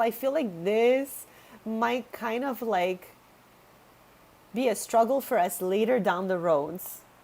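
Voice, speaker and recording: A woman talks at a fairly slow pace in a fairly high pitch, her intonation lively. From Quebec, Canada. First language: Italian. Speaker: video game streamer. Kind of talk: live stream chat while gaming. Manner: casual, chatty.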